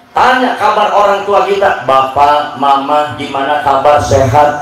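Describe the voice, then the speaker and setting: A man with lively intonation speaks over noticeable background noise. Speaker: Islamic preacher. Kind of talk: religious sermon to live audience. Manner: lively, joking, call-and-response with crowd.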